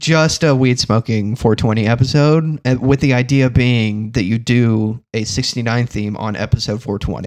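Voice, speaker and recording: Speaking in an ordinary speaking voice, a man of medium pitch keeps a moderate pace and fairly even intonation with hardly any pauses. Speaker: guest co-host on a comedy podcast. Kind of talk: casual comedic banter.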